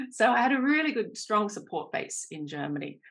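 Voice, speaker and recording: A woman at a moderate pace, with an Australian accent. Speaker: career coach. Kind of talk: podcast interview.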